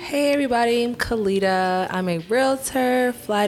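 A woman's voice amid noticeable background noise. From Atlanta, Georgia. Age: 30s. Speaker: realtor and flight attendant. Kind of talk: casual chat.

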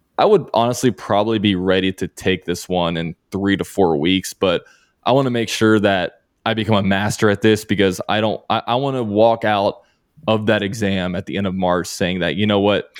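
Fairly low in pitch, a man's unremarkable speaking voice moves at a moderate pace with fairly even intonation, on a very clean recording with a silent background and a dry, close sound with no echo. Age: 30s. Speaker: CPA exam candidate, accountant and YouTuber. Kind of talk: interview.

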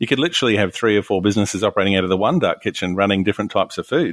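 Very fast and fairly low in pitch, a man talks with an Australian accent. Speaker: hospitality podcast co-host. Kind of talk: casual discussion.

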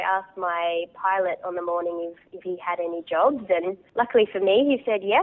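A woman speaks with an Australian accent at a medium pitch. Her pace is moderate and her pitch variation ordinary. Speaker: hot air balloon pilot. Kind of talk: interview.

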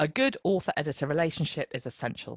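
Someone talks at a fairly quick pace in an English accent. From England. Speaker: fiction editor, podcast co-host. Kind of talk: casual educational chat.

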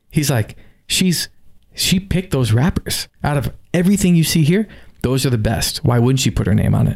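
Animated and somewhat breathy, a man with an American accent speaks at a moderate pace and fairly high pitch, with lively intonation and very even loudness. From South Florida. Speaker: cigar company representative and coffee hobbyist. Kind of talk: casual interview conversation. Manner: animated storytelling.

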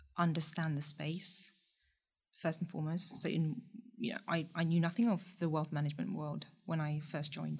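A woman's somewhat breathy voice, fairly low in pitch, at a moderate pace. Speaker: startup co-founder. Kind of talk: casual interview chat.

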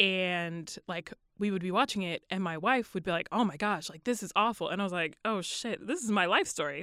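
On a very clean recording with a silent background, a woman speaks at a medium pitch and a fairly quick pace. She uses a plain, everyday voice with ordinary pitch variation. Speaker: chemist. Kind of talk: testimony.

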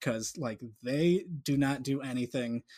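In a normal speaking voice, a man speaks at a fairly high pitch with ordinary pitch variation. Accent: American. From Colorado (Boulder). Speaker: artist. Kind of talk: casual chat. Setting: video call.

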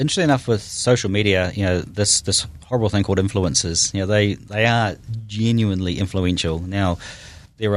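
A man's fairly low voice with a New Zealand accent, fairly quick pace and fairly even intonation. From New Zealand, Auckland North Shore. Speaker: tech startup founder. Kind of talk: interview.

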